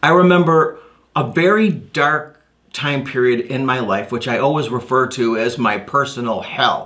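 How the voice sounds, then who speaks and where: In a room with audible echo, a man talks at a moderate pace in a bright, sharp tone with ordinary pitch variation. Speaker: motivational speaker. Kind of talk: stage presentation. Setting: stage. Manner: high energy.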